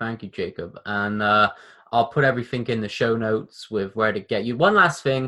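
Male voice with a British accent, medium pitch, bright, sharp tone, ordinary pitch variation and moderate pace, over a quiet background. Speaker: podcast host. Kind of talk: casual interview. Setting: video call. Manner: animated, casual.

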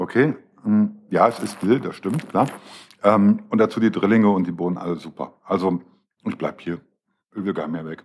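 A man with a fairly low voice talks at a moderate pace, leaving long, frequent pauses, with ordinary pitch variation. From Düsseldorf, partly raised in Swabia. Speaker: wine podcast host. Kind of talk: casual chat. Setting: hotel show kitchen.

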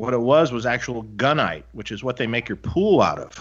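A man with an American accent has a plain, everyday voice and lively intonation. He keeps a moderate pace against a quiet background. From Detroit, US Midwest. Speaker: amp builder and podcast co-host. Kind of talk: casual chat. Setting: video call.

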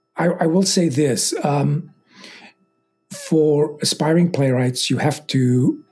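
A man speaks in a somewhat breathy voice. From London, England (born in Egypt). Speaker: playwright. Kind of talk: interview. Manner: halting, many fillers.

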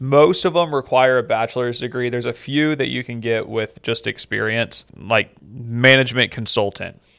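Here is a plain, everyday voice: a man with an American accent and a medium pitch. He talks at a moderate pace with fairly even intonation. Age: 30s. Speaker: immigration lawyer, podcast host. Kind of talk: explainer talk; casual chat.

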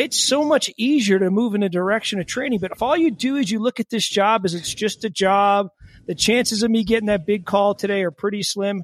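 A man's high voice, dry and close with no echo, moves at a fairly quick pace with ordinary pitch variation. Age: 40s. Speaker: podcast host and firefighter. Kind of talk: casual interview.

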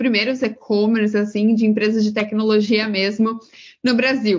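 A somewhat breathy, fairly high female voice at a fairly slow pace with fairly even intonation. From Brazil, interior of São Paulo state. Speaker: career mentor. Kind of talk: interview.

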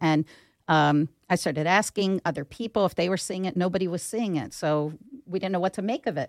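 A woman speaks with an American accent in an ordinary speaking voice, pitched fairly low with ordinary pitch variation. Her pace is fairly quick, and the recording is very clean with a silent background. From Philadelphia (Northeast Philadelphia). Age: 50s. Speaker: business owner, HR company CEO. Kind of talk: interview.

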